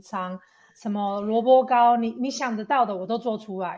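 A woman with a fairly high pitch talks at a fairly slow pace with fairly even intonation. The background is quiet. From Taiwan. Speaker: YouTuber. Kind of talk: casual chat. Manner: loud.

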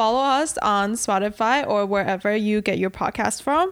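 Recorded very cleanly with a silent background, a woman with a fairly high pitch uses an ordinary speaking voice with ordinary pitch variation. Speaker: podcast co-host. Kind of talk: casual chat.

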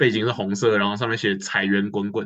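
With a normal speaking voice, a man of fairly low pitch talks at a moderate pace against a quiet background. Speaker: student podcast co-host. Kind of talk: casual chat.

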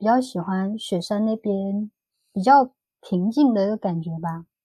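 A woman's dark, mellow, somewhat breathy voice at a medium pitch, fairly slow, with ordinary pitch variation and a dry, close sound with no echo. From Vietnam (ethnic Chinese). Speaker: former working holiday traveller. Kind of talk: casual interview chat.

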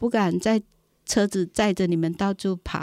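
Captured in a dry, close sound with no echo on a very clean recording with a silent background, a woman speaks in a dark, mellow tone with fairly even intonation. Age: 60s. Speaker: community association director and volunteer. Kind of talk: interview.

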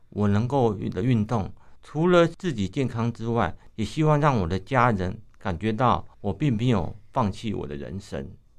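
Against a quiet background, a man talks fairly slowly with vocal fry and very wide pitch swings. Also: medium pitch for a man. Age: 50s. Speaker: visually impaired runner, running association chairman, retired civil servant. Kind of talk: radio interview.

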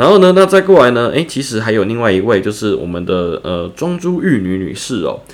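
Pitch swings very widely around a man's medium register. He keeps a fairly quick pace. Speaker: writing tutor for students. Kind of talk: tutorial. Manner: casual, with many filler words.

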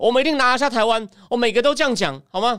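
Over a very clean recording with a silent background, a man with an extremely high pitch talks at a very fast pace with ordinary pitch variation. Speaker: political commentator. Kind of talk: livestream political analysis. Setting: solo livestream. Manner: conversational, many fillers.

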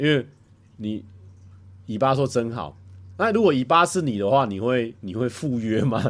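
A man with a Taiwanese accent, lively intonation and a moderate pace, in a very clean recording with a silent background. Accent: Taiwanese Mandarin. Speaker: livestreamer. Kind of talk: casual livestream chat reading viewer comments. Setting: home livestream. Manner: animated.

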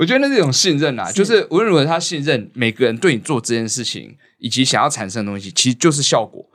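Speaking very fast with hardly any pauses, a man with a fairly high voice makes very wide pitch swings and big swings in loudness, in a very clean recording with a silent background. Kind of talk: casual chat.

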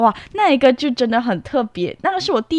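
Recorded with a dry, close sound and no echo, a woman speaks with very wide pitch swings. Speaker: student campus reporter. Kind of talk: interview hosting.

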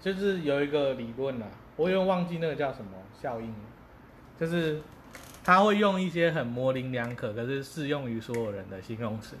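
Speaking at a moderate pace with lively intonation, a fairly high-pitched man leaves long, frequent pauses amid audible room echo. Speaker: podcast co-host. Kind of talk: casual chat.

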